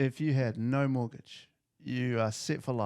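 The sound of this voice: Fairly even intonation in an unforced reading voice against a quiet background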